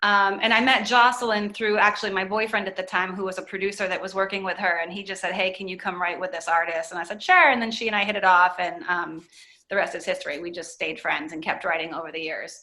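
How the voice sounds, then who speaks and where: A woman with an American accent, medium pitch, fairly even intonation, a very fast pace and hardly any pauses. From US Northeast (Maine). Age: 30s. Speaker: singer-songwriter and producer. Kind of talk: interview. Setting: podcast. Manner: casual, many fillers.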